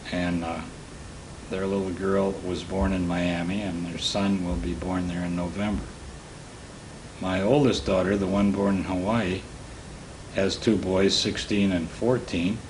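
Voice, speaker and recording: With an American accent, a man talks at a fairly slow pace in a very deep, low pitch, his intonation fairly even, broken by long, frequent pauses, with noticeable background noise and audible room echo. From Michigan, US Midwest. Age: 80s+. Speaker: war veteran. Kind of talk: interview testimony. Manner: halting.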